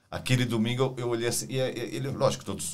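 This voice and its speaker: A man speaks in a normal speaking voice. His pitch sits fairly low and his pace is fairly quick. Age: 50s. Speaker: podcast co-host and hospital worker. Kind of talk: casual interview chat.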